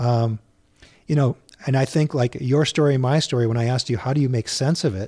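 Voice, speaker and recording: Talking at a fairly quick pace with an American accent, a man has a dark, mellow, somewhat breathy tone and fairly even intonation. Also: medium pitch for a man. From Minnesota, US (Saint Louis Park). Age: 50s. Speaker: author and youth canoe guide. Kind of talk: casual interview conversation. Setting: studio.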